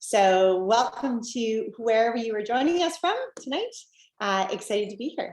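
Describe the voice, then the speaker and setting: Speaking at a moderate pace, a woman with a Canadian accent has a fairly high pitch and lively intonation. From Canada. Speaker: network marketing presenter. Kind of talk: sales pitch.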